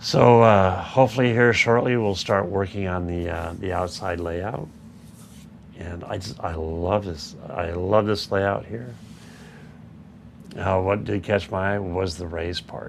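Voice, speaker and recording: Very deep and low, a man's voice moves at a fairly slow pace with big swings in loudness. Room echo is audible. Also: ordinary pitch variation. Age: 60s. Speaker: model railroad YouTuber. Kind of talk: casual livestream chat. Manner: halting.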